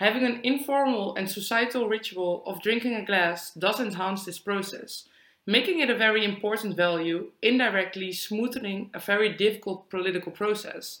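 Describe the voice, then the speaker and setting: A woman speaks with a Dutch accent at a medium pitch and a moderate pace, with ordinary pitch variation and hardly any pauses. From Netherlands. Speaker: student podcast co-host. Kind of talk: prepared discussion, partly read.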